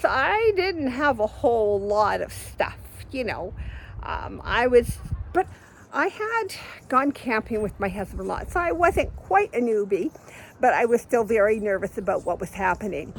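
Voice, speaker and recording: A woman keeps a moderate pace as noticeable background noise goes on behind her. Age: 70s. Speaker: vlogger living on the road. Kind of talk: casual monologue vlog. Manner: halting, self-correcting.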